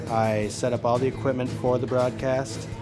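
The speech moves at a moderate pace in an American accent, with fairly even intonation. Clear music plays in the background. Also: man. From Minnesota, USA. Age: young. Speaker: college student. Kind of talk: interview answer. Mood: calm, positive. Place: hall.

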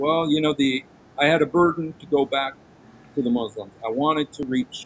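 A man with an American accent speaks at a moderate pace in a fairly high voice for a man, with light noise in the background. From USA. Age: 60s. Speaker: interview guest. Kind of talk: interview answer. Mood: earnest, reflective. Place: home room. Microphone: video call.

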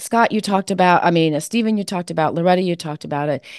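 Against a quiet background comes an ordinary speaking voice with ordinary pitch variation. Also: woman. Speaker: author and support coach. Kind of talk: panel discussion.

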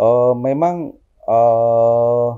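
Against a quiet background, a man talks with a dark, mellow tone. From Central Java (Boyolali), Indonesia; Central Java, Indonesia. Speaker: entrepreneur; interview guest. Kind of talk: interview. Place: office. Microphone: lapel.

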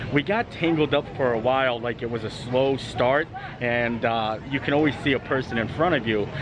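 Noticeable background noise sits behind a man speaking at a medium pitch and moderate pace, his pitch varying in an ordinary way. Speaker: travel vlogger. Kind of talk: vlog commentary. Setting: outdoors. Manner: animated.

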